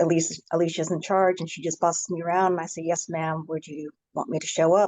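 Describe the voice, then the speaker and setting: Talking at a very fast pace, a woman delivers her words in a monotone, flat intonation at a fairly low pitch. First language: American Sign Language. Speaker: panelist, deaf services advocate. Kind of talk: panel introduction.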